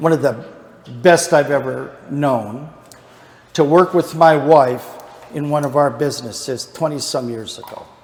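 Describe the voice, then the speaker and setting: Over noticeable background noise, the speaker goes at a fairly slow pace with ordinary pitch variation. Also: man. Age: 60s. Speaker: Bible study teacher. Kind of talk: Bible study lesson.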